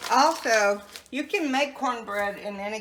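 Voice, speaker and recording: A woman with a Southern US accent speaks at a very slow pace with lively intonation. Noticeable background noise is present. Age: 70s. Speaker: home cook. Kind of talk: interview; cooking tutorial.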